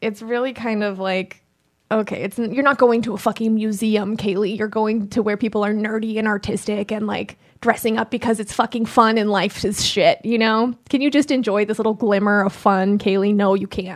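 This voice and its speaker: A woman with an unremarkable speaking voice and fairly high pitch speaks at a moderate pace with fairly even intonation. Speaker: producer and co-host. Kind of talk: casual chat.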